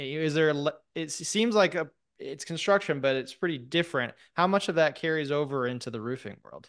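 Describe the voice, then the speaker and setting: Against a quiet background, a man talks at a moderate pace. His voice sits fairly high, with ordinary pitch variation. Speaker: podcast host. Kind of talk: casual interview. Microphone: studio mic.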